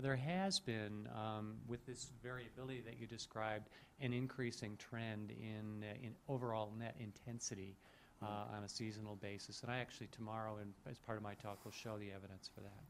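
A man in a plain, everyday voice, fairly low in pitch with fairly even intonation and a fairly quick pace, over light background noise. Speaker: audience questioner, climate scientist; questioner. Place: hall.

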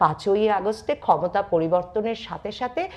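A woman's fairly high-pitched voice. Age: 40s. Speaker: political commentator. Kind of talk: political commentary monologue.

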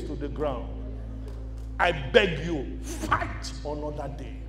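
A man speaks over clear music in the background. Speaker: motivational speaker. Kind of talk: motivational conference speech to a live audience. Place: hall. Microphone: handheld.

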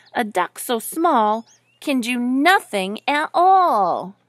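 A woman does a put-on character voice at a slow pace, fairly high in pitch with big swings. The recording is very clean, dry and close, with no echo and a silent background.

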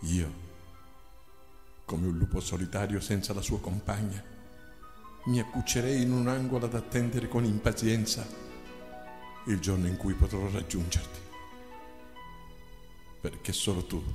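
Over music in the background, a man speaks in a fairly low voice with ordinary pitch variation and long, frequent pauses. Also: moderate pace. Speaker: narrator. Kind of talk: poetry reading. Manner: emotional, tearful.

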